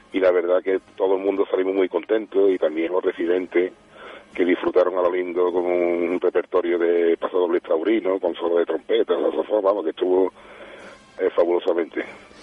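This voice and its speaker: A man's voice holds a very even loudness. Noticeable background noise sits behind it. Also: moderate pace. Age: 50s. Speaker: band director and music teacher. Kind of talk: radio interview.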